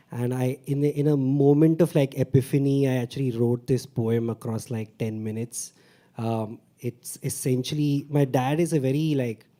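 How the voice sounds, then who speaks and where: At a moderate pace, a man with a Mumbai accent speaks in a dark, mellow tone at medium pitch, using ordinary pitch variation. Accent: South Bombay English. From India, South Bombay. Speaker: stand-up comedian and open mic performer. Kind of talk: open mic poetry performance. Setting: stage with audience.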